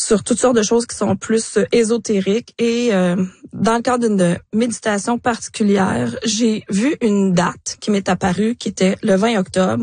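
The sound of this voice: A woman with a medium pitch speaks at a fairly slow pace with fairly even intonation. Her slightly mellow tone has a slightly husky edge.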